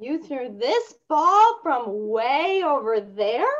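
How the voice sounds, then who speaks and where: In a put-on character voice, the speaker goes very slowly at a high pitch with very wide pitch swings. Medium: read story. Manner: upbeat, excited.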